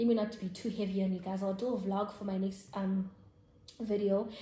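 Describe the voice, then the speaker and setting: With audible room echo, a woman speaks at a moderate pace in a South African accent. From South Africa, Eastern Cape (Grahamstown). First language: isiXhosa. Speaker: YouTuber. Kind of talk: casual vlog chat.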